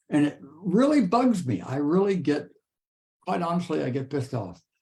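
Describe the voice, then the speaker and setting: His tone is dark and mellow. This man sounds somewhat breathy. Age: 80s+. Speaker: author. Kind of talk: interview.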